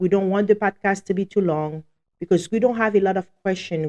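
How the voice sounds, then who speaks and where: This woman has a strong Haitian accent and a dark, mellow tone at a medium pitch. The recording is dry and close, with no echo. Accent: heavy Haitian. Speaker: podcast co-host, law office staff. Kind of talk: casual live podcast talk. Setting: live show.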